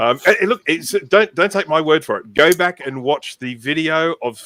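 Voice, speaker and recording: Bright and sharp in tone, a man with an Australian accent speaks at a fairly high pitch with very wide pitch swings. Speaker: community co-founder, live Q&A host. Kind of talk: informal live Q&A.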